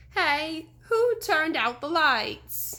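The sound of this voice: A woman does a put-on character voice that is whiny and extremely high in pitch. Her pitch swings very widely.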